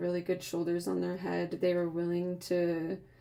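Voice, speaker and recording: Against noticeable background noise, a woman with a fairly low pitch talks with fairly even intonation. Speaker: content creator reflecting on podcast appearance. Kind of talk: casual vlog monologue. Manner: casual, filler-heavy.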